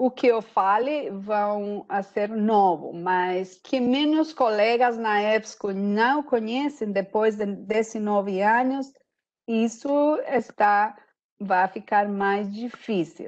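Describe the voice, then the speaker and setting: Over a quiet background, a woman with a Spanish accent talks very slowly at a fairly high pitch. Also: ordinary pitch variation. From Costa Rica. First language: Spanish (speaking Portuguese). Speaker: sales executive. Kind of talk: webinar presentation. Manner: halting.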